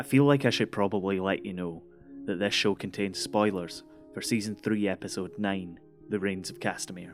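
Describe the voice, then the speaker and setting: A man with a Scottish accent and a fairly low pitch, music playing in the background. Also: ordinary pitch variation, moderate pace. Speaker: podcast host. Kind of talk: history storytelling podcast narration.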